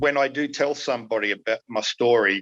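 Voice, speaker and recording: A man with an Australian accent speaks in a bright, sharp tone. He keeps a moderate pace and fairly even intonation. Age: 60s. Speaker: documentary participant, retired researcher. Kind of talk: podcast interview. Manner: hesitant, many fillers.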